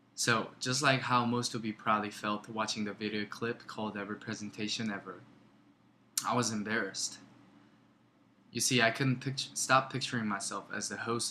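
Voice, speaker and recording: Speaking with a Korean accent, a man has a fairly low pitch and a bright, sharp tone. His pace is fairly quick, and his intonation is monotone and flat. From South Korea. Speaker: student. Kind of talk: class presentation. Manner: halting, with filler words and pauses.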